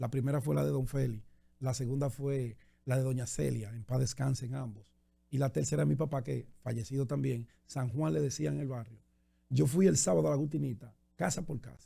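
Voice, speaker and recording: A man's somewhat breathy, medium-pitched voice with a dark, mellow tone and lively intonation, fairly quick in pace, on a very clean recording with a silent background. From Dominican Republic, Santo Domingo. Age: 50s. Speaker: journalist and political candidate. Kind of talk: radio interview.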